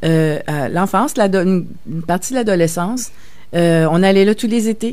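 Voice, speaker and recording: Her intonation is lively, at a medium pitch for a woman. She speaks at a very slow pace. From Quebec, Verdun (Montreal). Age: 60s. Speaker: novelist. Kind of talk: radio interview. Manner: halting, many hesitations.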